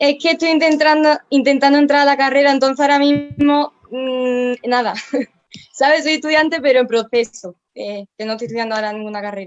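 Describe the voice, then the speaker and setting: At a fairly quick pace, a woman speaks with a high pitch and ordinary pitch variation. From Andalusia, Spain (Antequera). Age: 20s. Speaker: student. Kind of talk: panel discussion.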